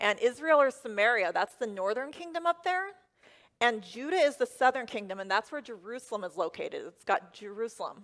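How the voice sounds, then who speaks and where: A high-pitched woman with an American accent and lively intonation on a very clean recording with a silent background. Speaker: first-time preacher delivering a sermon. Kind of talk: church sermon.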